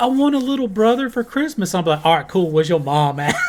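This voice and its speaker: A man speaks with a Southern US accent. His pitch variation is ordinary. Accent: southern twang. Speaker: music reaction youtuber. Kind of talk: casual commentary.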